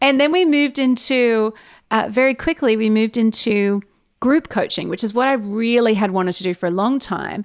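A woman speaks at a fairly high pitch with ordinary pitch variation, recorded very cleanly against a silent background. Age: 20s. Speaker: podcast host. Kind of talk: interview conversation. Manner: fast; intense.

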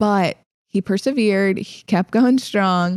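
A woman at medium pitch with a slight Southern US accent and ordinary pitch variation, on a very clean recording with a silent background. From Illinois and South Carolina. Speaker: podcast host, fitness coach. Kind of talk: casual conversational podcast.

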